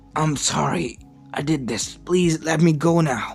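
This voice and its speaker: Faint music plays in the background as a put-on character voice at a middle pitch speaks at a fairly slow pace. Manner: begging.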